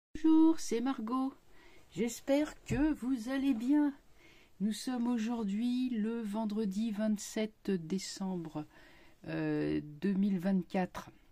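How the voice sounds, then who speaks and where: A woman's somewhat breathy, dark and mellow voice, fairly high in pitch, with lively intonation, a very slow pace and long, frequent pauses. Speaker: tarot reader and YouTuber. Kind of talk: casual vlog monologue. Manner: hesitant, many fillers.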